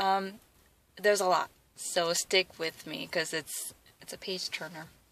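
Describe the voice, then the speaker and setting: Using a fairly low pitch and fairly even intonation, a woman talks at a fairly slow pace. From Wisconsin, US Midwest (from age 8; born South Korea). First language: Korean. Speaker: athlete vlogger. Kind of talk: personal testimony vlog. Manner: hesitant, many fillers.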